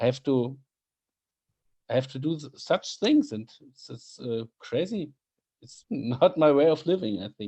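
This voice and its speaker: The voice has a dark, mellow tone and a German accent, moving at a fairly slow pace. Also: man. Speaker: podcast host. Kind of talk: casual chat. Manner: halting.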